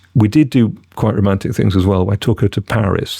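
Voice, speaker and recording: A man with a British accent speaks at a moderate pace in a fairly low pitch, recorded with a dry, close sound and no echo. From Britain. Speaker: actor. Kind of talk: podcast interview answer.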